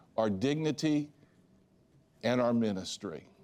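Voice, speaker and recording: A man with an American accent speaks with ordinary pitch variation in a very clean recording with a silent background. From United States. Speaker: ministry leader and former Olympic athlete. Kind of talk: TV interview testimony.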